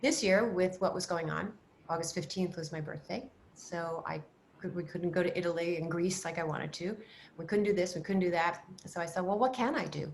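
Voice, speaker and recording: A woman with a fairly low pitch and a somewhat breathy voice speaks at a fairly quick pace with ordinary pitch variation. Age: 70s. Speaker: style expert. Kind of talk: interview. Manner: animated.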